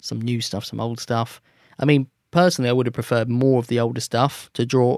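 Recorded very cleanly against a silent background, with a dry, close sound and no echo, a man uses a normal speaking voice at a medium pitch, talking at a fairly quick pace with fairly even intonation. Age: 20s. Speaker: musician. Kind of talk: casual chat.

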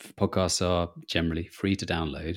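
With a British accent, a man talks at a moderate pace in a very deep, low pitch, recorded very cleanly against a silent background. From UK. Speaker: travel writer. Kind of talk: interview.

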